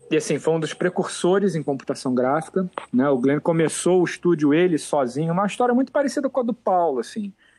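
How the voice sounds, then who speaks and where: A man talks very fast with hardly any pauses, his high-pitched voice dark and mellow in tone. His pitch swings very widely, and the sound is dry and close with no echo. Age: 40s. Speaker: photo retoucher. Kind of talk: interview.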